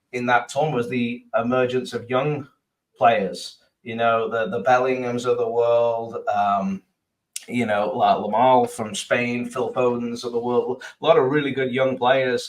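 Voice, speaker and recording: This man has an English accent and a medium pitch. He talks at a fairly slow pace with fairly even intonation. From England. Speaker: sports podcast co-host. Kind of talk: casual chat. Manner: hesitant, many fillers.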